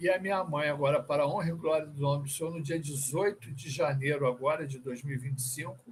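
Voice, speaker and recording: A man's somewhat breathy voice, fairly high in pitch, with fairly even intonation. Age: 60s. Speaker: church member. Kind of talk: testimony.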